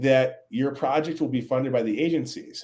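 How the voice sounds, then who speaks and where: The speaker has a Minnesotan accent and a dark, mellow tone. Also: man. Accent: Minnesota. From Minnesota, US Upper Midwest. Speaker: scientist, author. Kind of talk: interview. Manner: halting, many repetitions and fillers.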